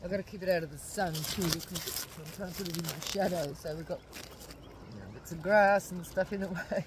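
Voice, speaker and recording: Over noticeable background noise, a woman talks at a very fast pace in a fairly low pitch, the sound dry with no echo. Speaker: spiritual vlogger. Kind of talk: casual vlog chat. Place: waterside. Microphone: phone near.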